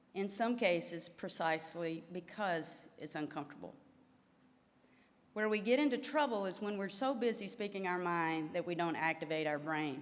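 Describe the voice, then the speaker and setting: A woman's fairly low voice with a Southern US accent, lively intonation and audible room echo. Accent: Southern drawl. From US South, Louisiana. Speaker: physical therapy association president, professor. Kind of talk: formal address to delegates. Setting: stage with audience.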